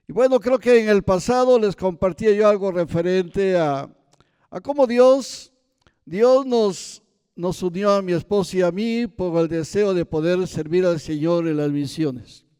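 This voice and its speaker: A man with a high voice talks at a fairly slow pace in a dark, mellow tone. His intonation is lively. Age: 70s. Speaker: missionary preacher. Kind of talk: sermon.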